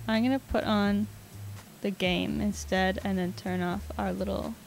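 A woman at a fairly slow pace, in a dry sound with no echo, over faint music in the background. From Canada. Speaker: video game streamer; streamer. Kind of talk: live gameplay commentary. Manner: animated. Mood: playful, relaxed. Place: home room. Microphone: studio mic.

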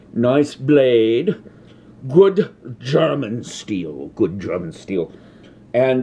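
With vocal fry, a man speaks in a dark, mellow tone. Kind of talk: comedic cooking tutorial in character. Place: kitchen. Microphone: phone near.

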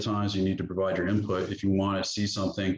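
Amid audible room echo, a man with fairly low pitch speaks at a very fast pace. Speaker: town manager. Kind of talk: budget presentation at council workshop. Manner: hesitant fillers.

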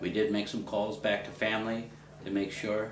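With an American accent, a man talks amid light background noise and audible room echo. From Ohio. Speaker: interviewee. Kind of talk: interview answer. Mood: reflective, serious. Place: home room.

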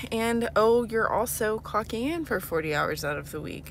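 A woman speaks at a fairly slow pace. The sound is dry with no echo, over light background noise. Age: 20s. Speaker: vlogger and single mother, hospital nurse. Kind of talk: casual vlog talk to camera. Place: car. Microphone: phone near.

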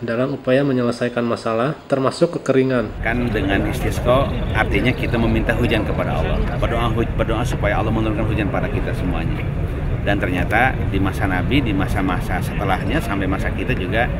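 A man talks at a very fast pace with ordinary pitch variation, fighting loud background noise. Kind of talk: interview answer. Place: street. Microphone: handheld.

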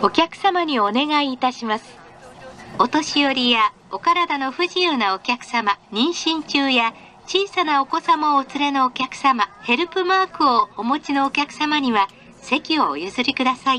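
A woman with a high pitch, bright, sharp tone, lively intonation and fairly slow pace

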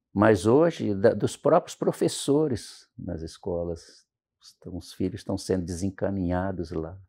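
Over a quiet background, a man with a very deep, low pitch and a dark, mellow tone speaks fairly slowly, with lively intonation and big swings in loudness. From Espírito Santo, Brazil (rural interior). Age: 70s. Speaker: pastor. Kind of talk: interview. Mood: calm, warm storytelling. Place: studio. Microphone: lapel.

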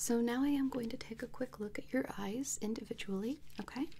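A woman speaks at a fairly slow pace in a fairly high pitch, her somewhat breathy voice carrying a dark, mellow tone over light background noise. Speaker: ASMR artist doing a medical role play as an eye exam trainee; ASMR creator playing eye doctor. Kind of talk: ASMR medical role play, eye exam. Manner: soft-spoken, gentle, reassuring. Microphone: studio mic.

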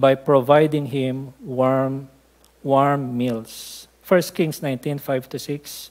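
A man speaks at a slow pace with a slightly mellow tone.

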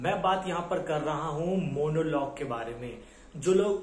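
A man's high-pitched voice at a very slow pace, with fairly even intonation and audible room echo. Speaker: acting coach. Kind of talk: tutorial. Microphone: phone near.

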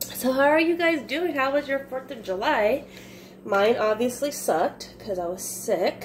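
Over light background noise, a woman speaks fairly slowly, her pitch swinging very widely. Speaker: vlogger. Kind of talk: casual vlog chat. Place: kitchen. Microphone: phone near.

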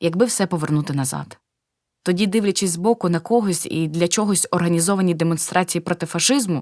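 A plain, everyday voice from a woman, fairly low in pitch with ordinary pitch variation, dry and close with no echo, in a very clean recording over a silent background. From eastern Ukraine, Luhansk. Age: 60s. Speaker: war refugee, pensioner. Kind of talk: testimony.

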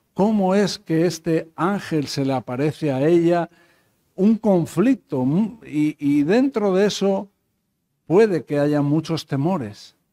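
Speaking at a very slow pace, a man with a fairly high pitch and a dark, mellow tone uses lively intonation. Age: 50s. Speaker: pastor. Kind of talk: Bible study teaching. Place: church. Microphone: podium.

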